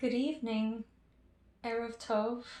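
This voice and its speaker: A soft-spoken woman talks at a fairly high pitch with a dark, mellow tone and monotone, flat intonation. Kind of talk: ASMR personal attention role play.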